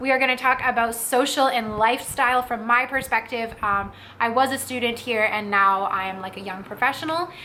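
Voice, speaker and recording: Over noticeable background noise, a woman with a Canadian accent talks at a fairly high pitch and a fairly quick pace, with hardly any pauses. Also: ordinary pitch variation. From Ottawa, Ontario, Canada. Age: 20s. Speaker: vlogger. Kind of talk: casual talk to camera.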